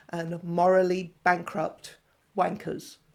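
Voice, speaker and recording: A woman at medium pitch speaks at a very slow pace on a very clean recording with a silent background. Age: 60s. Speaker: gender-critical commentator YouTuber. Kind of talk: monologue commentary video.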